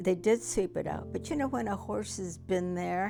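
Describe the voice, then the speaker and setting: Music plays in the background. A woman with an American accent speaks at a moderate pace. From United States. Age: 80s+. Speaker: Japanese American internment survivor. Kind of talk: interview answer.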